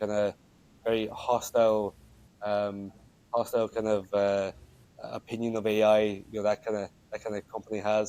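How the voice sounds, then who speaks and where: A man's fairly low, dark and mellow voice with an Irish accent, in monotone, flat intonation. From Ireland, Wexford. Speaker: student and games company founder. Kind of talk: podcast interview. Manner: halting.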